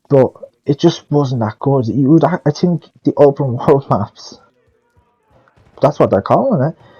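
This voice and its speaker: Over music in the background, a man with a fairly high pitch and ordinary pitch variation speaks at a fairly slow pace with long, frequent pauses. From Ireland. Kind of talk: casual game review commentary. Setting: headset mic, poor audio. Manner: loud.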